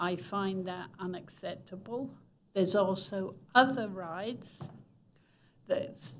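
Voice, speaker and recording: There is audible room echo as a woman speaks at a fairly slow pace and a medium pitch. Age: 80s+. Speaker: resident speaking at public comment. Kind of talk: public comment at city council meeting.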